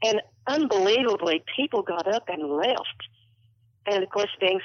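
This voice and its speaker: Here a woman talks in a plain, everyday voice, with medium pitch and ordinary pitch variation. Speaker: longtime orchestra patron.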